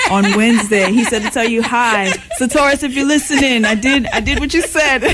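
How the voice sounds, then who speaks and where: Over noticeable background noise, the speaker talks at a fairly quick pace with an American accent. The loudness stays very even, and the pitch varies in an ordinary way. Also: woman, high pitch for a woman. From Jamaica (Kingston), then USA. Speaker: singer. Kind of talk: radio interview. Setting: radio studio.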